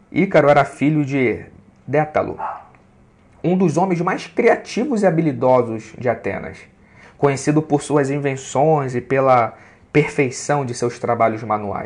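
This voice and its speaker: Pitched fairly high, a man speaks at a fairly slow pace with ordinary pitch variation. Long pauses come often. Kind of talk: preacher-style sermon, devotional teaching with scripture and poetry. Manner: unhurried, earnest, preacher-like and didactic, explaining with emphasis.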